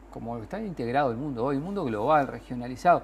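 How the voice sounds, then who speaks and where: With a normal speaking voice at medium pitch, a man talks using lively intonation. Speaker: politician, former history teacher. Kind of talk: political debate on TV.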